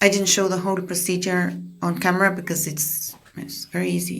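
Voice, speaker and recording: A woman talks in a fairly low pitch, somewhat breathy. Audible echo from the room surrounds her voice. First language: Spanish. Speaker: craft tutorial creator. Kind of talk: tutorial voiceover. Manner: halting, with repetitions and fillers.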